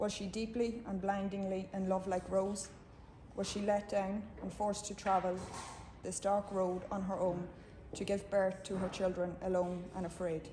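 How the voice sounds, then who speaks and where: A woman with an Irish accent, medium pitch and monotone, flat intonation at a moderate pace, with audible room echo and noticeable background noise. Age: 60s. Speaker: campaigner for mother and baby home survivors. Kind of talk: prepared speech at a book launch. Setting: book launch event with audience. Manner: formal.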